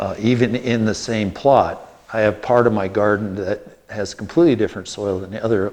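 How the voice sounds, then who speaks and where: This man has a normal speaking voice with a fairly low pitch. He speaks at a fairly quick pace with fairly even intonation. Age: 60s. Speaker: biochar company owner giving a gardening talk. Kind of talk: lecture. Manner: casual, conversational.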